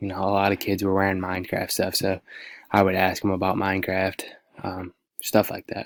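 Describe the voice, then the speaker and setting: A soft-spoken man with a fairly low pitch at a moderate pace, dry and close with no echo, in a very clean recording with a silent background. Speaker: student teacher. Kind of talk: class presentation. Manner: halting.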